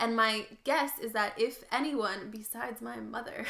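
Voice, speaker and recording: Lively intonation in a woman's fairly high voice, with noticeable background noise behind it. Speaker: podcast co-host and youtuber. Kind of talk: casual chat. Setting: living room floor. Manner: fast.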